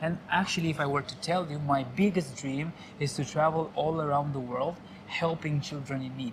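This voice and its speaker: At a moderate pace, someone speaks with a Romanian accent over noticeable background noise. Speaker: local guide. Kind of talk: casual chat. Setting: bar.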